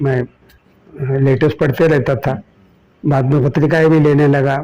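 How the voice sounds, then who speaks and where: This man's voice sits fairly high in pitch and has a dark, mellow tone. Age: 70s. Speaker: social activist. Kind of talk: interview.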